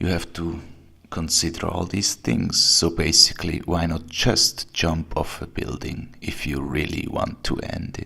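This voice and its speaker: A man with a non-native accent speaks fairly slowly in a very deep, low pitch with vocal fry and ordinary pitch variation. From Switzerland. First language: German. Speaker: video blogger. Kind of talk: video response.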